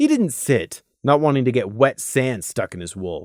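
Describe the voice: Speaking at a fairly slow pace, a man uses a medium pitch. The recording is very clean, with a silent background and a dry, close sound with no echo.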